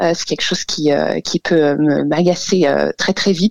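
A woman talks at a fairly slow pace. Her voice sounds dry and close, free of echo. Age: 30s. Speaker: caller. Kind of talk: personal testimony. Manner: hesitant.

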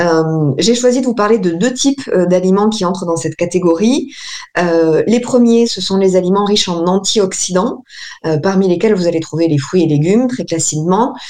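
Here is a woman with an ordinary speaking voice at medium pitch. She talks at a moderate pace with lively intonation. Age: 30s. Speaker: naturopath. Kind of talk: radio interview. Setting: remote call with camera. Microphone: poor remote audio.

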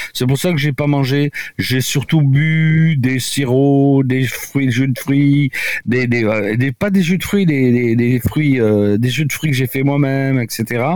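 Speaking at a very slow pace, the man uses a medium pitch with ordinary pitch variation and keeps his loudness very even. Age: 70s. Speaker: doctor. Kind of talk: radio interview. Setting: remote from home. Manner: halting.

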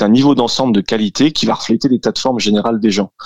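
In a dry, close sound with no echo, this man rattles off his words very fast. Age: 30s. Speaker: CrossFit gym co-owner and fitness coach. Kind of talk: radio interview.

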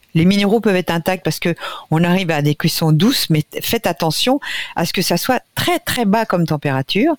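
A woman speaks at a fairly quick pace with lively intonation and very even loudness, in a dry, close sound with no echo. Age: 60s. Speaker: nutrition expert. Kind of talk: radio interview.

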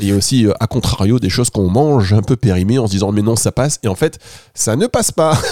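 Very fast delivery in a dark, mellow tone, ordinary pitch variation, very even loudness and a dry, close sound with no echo. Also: man, medium pitch for a man. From Martinique. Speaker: radio host. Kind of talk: radio chat. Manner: playful, animated.

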